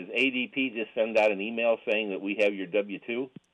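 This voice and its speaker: Speaking with a plain, everyday voice, a man keeps a fairly low pitch, fairly even intonation and a moderate pace. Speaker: caller. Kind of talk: phone-in question. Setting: phone call.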